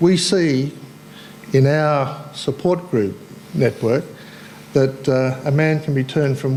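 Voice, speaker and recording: An Australian-accented man speaks at a fairly slow pace and fairly high pitch, with ordinary pitch variation, over noticeable background noise. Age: 60s. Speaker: cancer survivor and support group volunteer. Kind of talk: talk to audience. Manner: casual.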